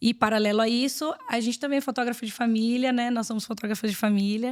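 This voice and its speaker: A woman with a fairly high pitch speaks very fast. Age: 30s. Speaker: mother and family photographer. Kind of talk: casual interview.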